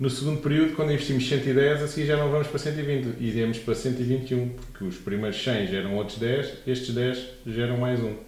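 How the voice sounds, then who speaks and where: In a European Portuguese accent, a man speaks at medium pitch and a moderate pace with ordinary pitch variation. Audible room echo surrounds the voice. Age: 30s. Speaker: podcast host, finance explainer. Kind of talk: casual explanatory chat.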